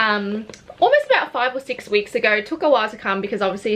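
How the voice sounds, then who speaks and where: A woman with an Australian accent, fairly high in pitch, with ordinary pitch variation. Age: 20s. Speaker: beauty vlogger. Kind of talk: casual chat.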